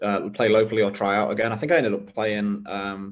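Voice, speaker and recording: This man has an English accent and a fairly low pitch. He speaks at a moderate pace with monotone, flat intonation. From England, Nottingham (Clifton). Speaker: former footballer and football coach. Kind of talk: podcast interview. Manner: hesitant, many fillers.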